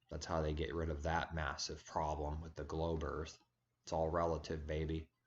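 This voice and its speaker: A man with a very deep, low voice and a somewhat breathy quality talks at a moderate pace in a flat monotone. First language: Serbian. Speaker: religious video blogger. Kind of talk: casual monologue vlog. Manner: halting.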